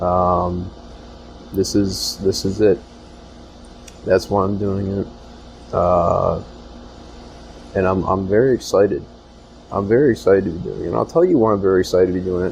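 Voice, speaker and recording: A man with a very deep, low pitch speaks at a moderate pace with lively intonation and long, frequent pauses. Background noise is noticeable. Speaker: podcast host and department store worker. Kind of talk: solo podcast monologue. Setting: store back room. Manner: hesitant, many fillers.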